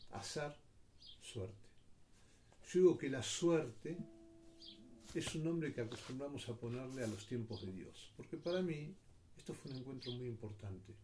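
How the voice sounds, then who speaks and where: With audible room echo around him, a man speaks in a dark, mellow, somewhat breathy tone, leaving long, frequent pauses. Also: medium pitch for a man, lively intonation, moderate pace. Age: 60s. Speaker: commentator. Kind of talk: personal reflection monologue.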